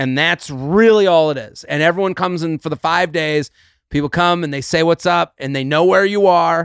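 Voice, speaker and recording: A man with an American accent, an ordinary speaking voice, fairly high pitch, ordinary pitch variation and a moderate pace, in a very clean recording with a silent background and a dry, close sound with no echo. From New England, US. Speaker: comedian. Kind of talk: casual chat.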